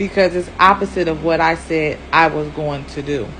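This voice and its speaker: Against noticeable background noise, a woman talks at a fairly low pitch with ordinary pitch variation. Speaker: spiritual speaker giving a talk. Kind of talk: casual, conversational. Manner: stutters, speech impediment.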